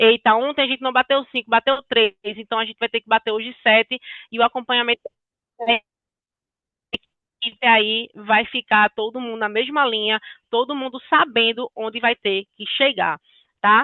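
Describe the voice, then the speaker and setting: At a moderate pace broken by long, frequent pauses, a woman speaks at a fairly high pitch with fairly even intonation and big swings in loudness. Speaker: sales consultant. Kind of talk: business training talk.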